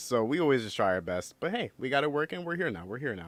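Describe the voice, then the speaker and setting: In an American accent, a man talks in an animated tone. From United States. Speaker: podcast co-host. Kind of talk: casual chat. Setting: video call livestream from home.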